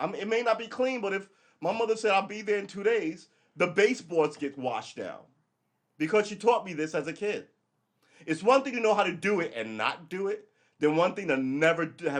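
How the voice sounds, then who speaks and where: Loud and animated, a man with an American accent talks at a fairly quick pace, using a high pitch and lively intonation. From New York. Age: 50s. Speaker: live streamer. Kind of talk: casual livestream monologue.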